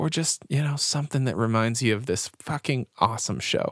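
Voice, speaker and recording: A man speaks in an ordinary speaking voice at a moderate pace, with ordinary pitch variation. The sound is very clean, dry and close with no echo, over a silent background. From Canada. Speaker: podcast host and music reviewer. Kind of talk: casual chat, music review podcast. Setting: home basement. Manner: talkative, jokey, casual.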